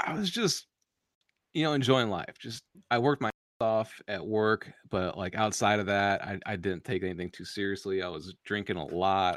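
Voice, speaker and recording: A man with a fairly low pitch and an unremarkable speaking voice talks at a moderate pace. The recording is very clean with a silent background and a dry, close sound with no echo. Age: 30s. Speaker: author and podcaster. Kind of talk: casual interview chat.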